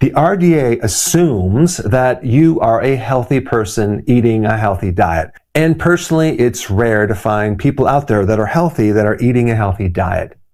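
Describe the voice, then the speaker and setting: This man has an unremarkable speaking voice with medium pitch and lively intonation. He keeps a moderate pace with hardly any pauses and very even loudness. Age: 60s. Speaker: chiropractor. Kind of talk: health explainer talk to camera.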